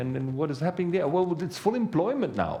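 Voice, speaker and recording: A man speaks very fast with vocal fry and a dark, mellow tone. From Belgium. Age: 60s. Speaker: economist and author. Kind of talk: talk to an audience.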